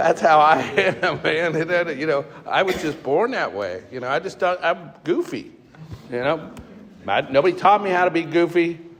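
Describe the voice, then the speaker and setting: A man with an American accent and a high pitch, at a moderate pace, over noticeable background noise. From US Midwest, Cincinnati, Ohio. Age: 60s. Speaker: recovering alcoholic speaker. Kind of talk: recovery testimony. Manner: casual, halting with fillers.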